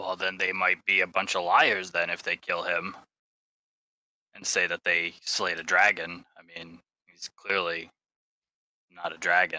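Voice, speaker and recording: A man uses a put-on character voice, very deep, low and raspy. He keeps a moderate pace with long, frequent pauses. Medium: actual play.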